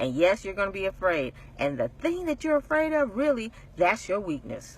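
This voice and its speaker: A woman at a medium pitch speaks in an animated tone, her voice making very wide pitch swings. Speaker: faith-based motivational speaker. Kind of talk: inspirational talk to camera. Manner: fast.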